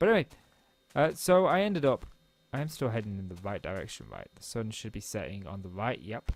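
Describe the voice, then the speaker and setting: Mumbling at a fairly quick pace, a man speaks at a fairly low pitch with very wide pitch swings. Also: big swings in loudness. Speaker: gaming YouTuber. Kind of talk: casual gameplay vlog monologue. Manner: fast.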